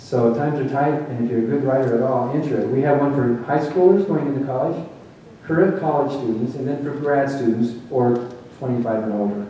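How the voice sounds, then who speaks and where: Noticeable background noise runs behind a man speaking at a fairly quick pace. His pitch is medium, with ordinary variation. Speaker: former preacher turned atheist speaker. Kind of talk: public lecture.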